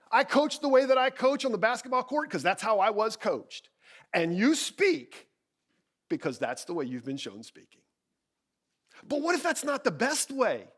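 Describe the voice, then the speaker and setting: With an animated tone, a man speaks at a moderate pace, his extremely high pitch making very wide swings. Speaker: keynote speaker and communications coach. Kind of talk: keynote speech. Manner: loud.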